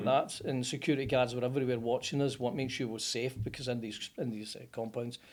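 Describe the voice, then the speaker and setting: Scottish-accented man at a very fast pace, medium pitch and fairly even intonation. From Scotland, Motherwell. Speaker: plumber, business owner. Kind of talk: interview answer. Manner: casual, storytelling.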